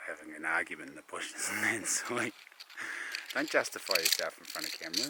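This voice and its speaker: A quiet man talks at a very fast pace with big swings in loudness over noticeable background noise. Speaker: hunting and bushcraft vlogger. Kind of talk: casual vlog chat. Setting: outdoors in the bush.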